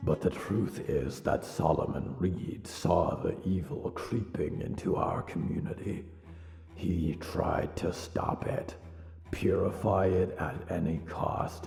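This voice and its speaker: A man in a put-on character voice speaks at a fairly slow pace with a very deep, low pitch, with hissing, a slight echo, and clear background noise. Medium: audio drama. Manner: hissing, menacing.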